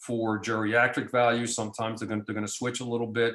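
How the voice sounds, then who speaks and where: A man's voice at a medium pitch. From New Jersey. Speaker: physician lecturer on lab testing. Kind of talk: lecture. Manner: fast; halting, many repetitions and fillers.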